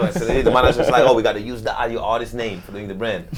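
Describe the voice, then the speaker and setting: With a French accent, a man speaks very fast at a medium pitch. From France, Marseille. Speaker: DJ. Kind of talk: casual chat.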